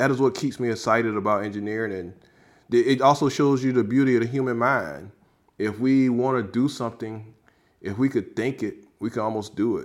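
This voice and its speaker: An unremarkable speaking voice with an American accent and ordinary pitch variation, at a fairly quick pace. The recording is very clean with a silent background. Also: man, medium pitch for a man. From South Carolina, US South. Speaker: rocket scientist and pitmaster. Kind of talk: interview.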